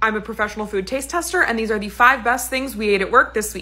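The speaker is a woman. She talks very fast. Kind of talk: casual vlog chat. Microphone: phone near.

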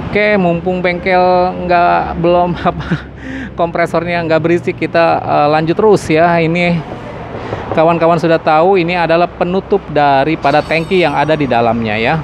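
With noticeable background noise but a dry sound lacking echo, a man with a high pitch speaks at a moderate pace, his intonation fairly even and his loudness very even. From Indonesia. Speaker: motorcycle vlogger. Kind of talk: walkaround product review; product walkaround commentary. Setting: at a motorcycle dealership workshop. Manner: casual, filler-heavy. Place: shop. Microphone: phone near.

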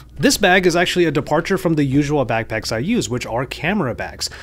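Talking very fast, a man speaks with lively intonation. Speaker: tech reviewer. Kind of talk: product review commentary. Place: home room. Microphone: studio mic.

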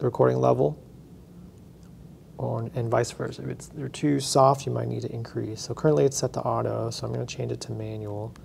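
Fairly quick pace over light background noise. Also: man. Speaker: instructor. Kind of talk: tutorial. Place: classroom.

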